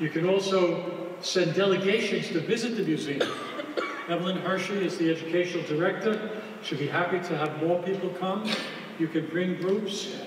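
Amid light background noise and audible room echo, a man with a high voice talks at a moderate pace. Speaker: speaker. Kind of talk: speech at awards dinner. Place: hall.

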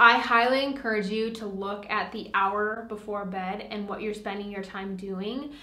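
The speech runs on with hardly any pauses, and audible room echo fills the space. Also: woman, medium pitch for a woman, moderate pace. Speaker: lifestyle vlogger. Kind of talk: casual vlog monologue. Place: home room.

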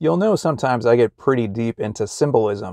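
A man at a fairly quick pace, in a dry sound with no echo and a quiet background. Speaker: religious vlogger. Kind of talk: casual vlog chat. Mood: reflective, friendly. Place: car. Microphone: phone near.

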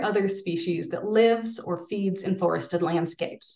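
A woman speaks at a moderate pace against a quiet background, with audible room echo. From US Pacific Northwest. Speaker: archaeologist; presenter. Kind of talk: webinar presentation. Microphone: webcam.

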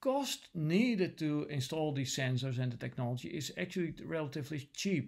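Man with a Dutch accent, lively intonation and a moderate pace, over a quiet background. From Netherlands. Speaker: lecturer; university lecturer. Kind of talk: lecture. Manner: hesitant, many filler sounds. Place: home room. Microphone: webcam.

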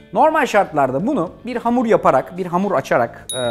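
Faint music plays in the background. A man talks at a moderate pace with a high pitch. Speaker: TV cooking show host. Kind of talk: cooking tutorial. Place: studio. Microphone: lapel.

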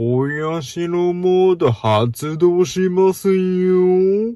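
A cartoonish character voice moves at a very slow pace. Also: man, high pitch for a man.

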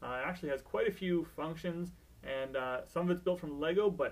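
A man with a high voice speaks at a fairly quick pace. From Canada. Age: 20s. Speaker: teacher and maker. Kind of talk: casual talk to camera, TV host audition.

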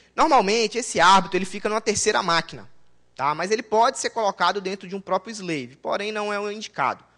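A man's high-pitched, raised and projected voice, bright and sharp in tone, at a very fast pace against a quiet background. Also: ordinary pitch variation. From Brazil, Governador Valadares, Minas Gerais; Minas Gerais, Brazil. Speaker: database consultant and conference speaker; conference presenter. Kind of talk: technical conference talk. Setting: conference room with audience. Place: hall.

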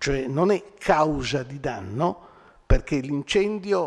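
Against a quiet background, a man with a fairly high pitch speaks at a very slow pace with lively intonation. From Rome, Italy; Italy. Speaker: lecturer. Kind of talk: public lecture. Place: hall. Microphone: podium.

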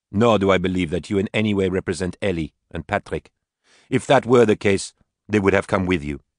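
Against a quiet background, the speaker reads in an unforced reading voice with fairly even intonation.

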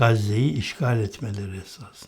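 A man's somewhat breathy delivery at a very slow pace. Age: 60s. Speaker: political commentator. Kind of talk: political commentary monologue.

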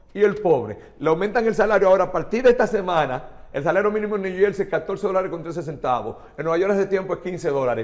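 Against a quiet background, a man speaks very fast with a Dominican accent. His voice is high-pitched, with ordinary pitch variation. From Dominican Republic. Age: 60s. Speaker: chemist and politician; politician. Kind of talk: TV interview. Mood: indignant, angry. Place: studio. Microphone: lapel.

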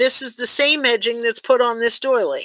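A high-pitched woman's voice with a bright, sharp tone, dry with no echo, against a quiet background. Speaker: tatting teacher. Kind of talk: online class. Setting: video call.

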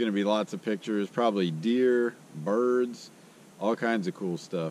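A man at a moderate pace with light background noise and a dry sound with no echo. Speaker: outdoor video host. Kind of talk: casual vlog chat. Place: forest.

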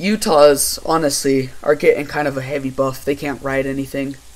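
The pace here is moderate. It is a normal speaking voice. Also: man. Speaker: gaming YouTuber. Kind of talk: casual gameplay chat. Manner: casual, laid-back.

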